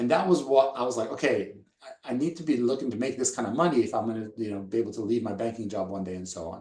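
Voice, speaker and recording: A man talks at a very fast pace with hardly any pauses, his pitch medium. His tone is dark and mellow, and his intonation is lively. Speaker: network marketing presenter. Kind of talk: sales pitch.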